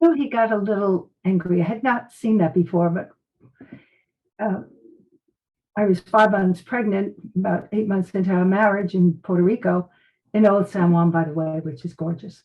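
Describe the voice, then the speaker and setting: Long, frequent pauses break up a woman's medium-pitched speech, which moves at a moderate pace with ordinary pitch variation. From US Northeast, Brooklyn, New York. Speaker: medical intuitive and psychic detective, former nurse. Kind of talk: interview testimony.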